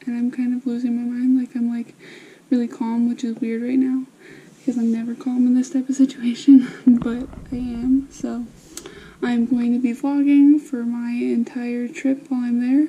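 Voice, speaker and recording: Quiet and high-pitched, a woman speaks in a monotone, flat way over noticeable background noise. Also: moderate pace. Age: 20s. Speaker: beauty and travel vlogger, student. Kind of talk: casual vlog.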